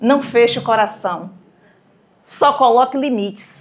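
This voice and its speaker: A woman speaks in a high pitch. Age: 60s. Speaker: speaker at a cultural event. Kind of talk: motivational talk to a live audience.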